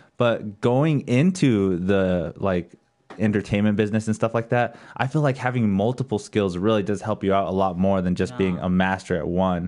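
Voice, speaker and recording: A man with a fairly low pitch speaks in an ordinary speaking voice at a moderate pace. His pitch shows ordinary variation, and the background is quiet. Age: 30s. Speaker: podcast host. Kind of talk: casual chat. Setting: studio.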